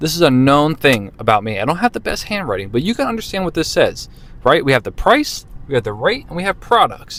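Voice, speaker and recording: A man at a fairly quick pace, fairly high in pitch, with very wide pitch swings. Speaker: car salesman. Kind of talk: tutorial. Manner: fast; casual, conversational.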